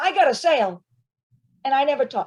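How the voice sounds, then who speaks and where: A woman speaks in an animated tone with lively intonation. Her pitch is high. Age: 60s. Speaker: retired corporate worker turned online entrepreneur. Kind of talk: interview.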